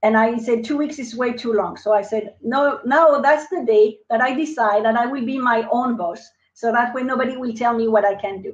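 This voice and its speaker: With a French accent, a woman speaks in a high pitch at a moderate pace, with ordinary pitch variation and hardly any pauses. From France. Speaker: entrepreneur. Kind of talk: interview. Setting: live video stream.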